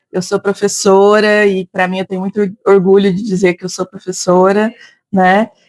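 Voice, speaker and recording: Dry and close with no echo, a woman speaks in a strong interior São Paulo accent. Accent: heavy interior São Paulo. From Brazil, interior of São Paulo state. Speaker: psychologist and teacher. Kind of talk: interview. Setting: café.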